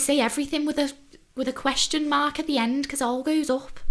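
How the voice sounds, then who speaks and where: A woman speaks at a very fast pace in a high, flat, monotone voice over noticeable background noise. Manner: pleasant podcast delivery; upward inflection at sentence ends.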